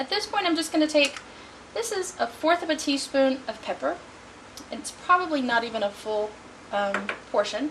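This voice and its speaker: Over noticeable background noise, a woman speaks at a moderate pace and a high pitch, her voice swinging very widely in pitch between long, frequent pauses. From Texas, Houston. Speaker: home cook. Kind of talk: cooking tutorial. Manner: friendly, conversational.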